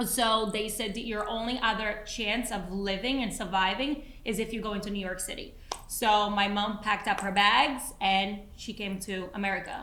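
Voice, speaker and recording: Hardly pausing, a woman of medium pitch talks at a moderate pace with fairly even intonation, and audible room echo surrounds her voice. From Brazil, moved to New Jersey at fourteen. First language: Portuguese. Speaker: podcast co-host, entrepreneur and mother. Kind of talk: casual chat.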